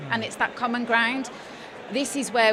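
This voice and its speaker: A woman with a slight Birmingham accent speaks at a moderate pace over noticeable background noise. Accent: slight Birmingham (Brummie). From West Midlands, England (Birmingham/Worcestershire). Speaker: coach and former nurse. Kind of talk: casual chat. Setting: studio at live trade show.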